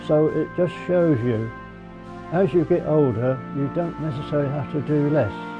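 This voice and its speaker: Music plays behind a man who speaks at a moderate pace with a fairly high pitch and ordinary pitch variation. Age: 80s+. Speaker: lifelong cyclist. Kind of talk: interview answer.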